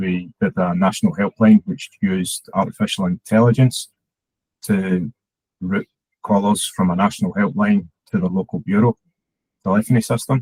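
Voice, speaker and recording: This man speaks in a Scottish accent at a fairly low pitch. He uses ordinary pitch variation and takes long, frequent pauses. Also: moderate pace, dry, close sound with no echo. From Scotland. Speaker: head of digital at a charity. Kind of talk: conference talk.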